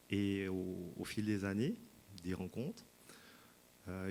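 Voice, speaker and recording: Speaking with a Swiss accent, a man talks at a fairly slow pace in a fairly low pitch with monotone, flat intonation. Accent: Swiss French, noticeable. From Switzerland. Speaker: sound healing practitioner, speaker at wellness fair. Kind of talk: talk to an audience. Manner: hesitant, many fillers.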